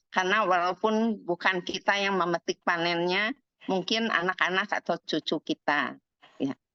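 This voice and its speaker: In a dry, close recording with no echo, a woman speaks at a medium pitch in a bright, sharp tone, with ordinary pitch variation and very even loudness. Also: moderate pace. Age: 70s. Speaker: insurance agent. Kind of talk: testimony.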